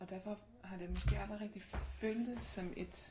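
There is audible room echo and noticeable background noise. A woman talks at a moderate pace. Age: 20s. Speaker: activist against body shaming. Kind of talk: casual chat.

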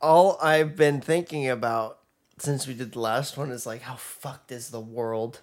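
A man with a plain, everyday voice speaks at medium pitch and a fairly slow pace. His loudness swings widely while his pitch varies in an ordinary way. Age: 20s. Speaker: podcast co-host. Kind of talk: casual chat.

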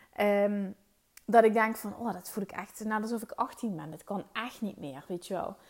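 A woman speaks at a moderate pace in a medium pitch, with ordinary pitch variation and big swings in loudness. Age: 30s. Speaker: podcast host, mindset coach. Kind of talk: solo monologue podcast. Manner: casual, hesitant with fillers.

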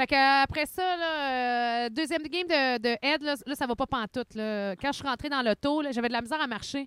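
In a Quebec accent, a woman talks at a high pitch with ordinary pitch variation and hardly any pauses. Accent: Québécois French. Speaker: podcast co-host. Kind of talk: casual chat. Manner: fast.

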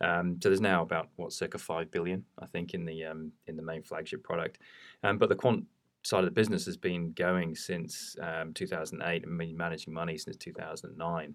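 A man's very deep, low voice in a British accent, monotone and flat, at a fairly quick pace, on a very clean recording with a silent background. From United Kingdom. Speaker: quantitative investment head. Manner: hesitant, filler-heavy.

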